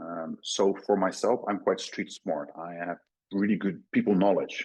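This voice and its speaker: With a Dutch accent, a man talks at a fairly slow pace. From Netherlands. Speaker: crypto company CEO. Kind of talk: podcast interview. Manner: halting, many fillers.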